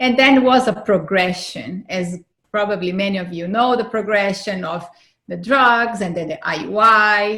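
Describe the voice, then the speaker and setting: With a non-native accent, a woman talks at a medium pitch in a bright, sharp tone on a very clean recording with a silent background. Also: ordinary pitch variation, moderate pace. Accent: foreign accent, noticeable. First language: not English. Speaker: fertility advocate and author. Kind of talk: interview, personal testimony.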